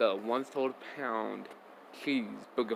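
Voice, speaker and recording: A man speaks at medium pitch. Noticeable background noise is present. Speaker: reaction video youtuber. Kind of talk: casual reaction commentary. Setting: at home in bedroom.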